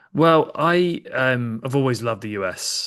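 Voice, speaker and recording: Over a quiet background, a man talks with a bright, sharp tone. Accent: English. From England, Kent and London. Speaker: podcaster and soccer fan. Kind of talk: casual chat.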